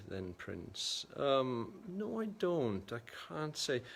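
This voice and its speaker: The speaker is a man. He has a South Welsh accent. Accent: south Wales Welsh English. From Wales, Gwendraeth Valley. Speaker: photographer and livestream host. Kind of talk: casual livestream chat reading viewer comments. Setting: livestream from a primary school.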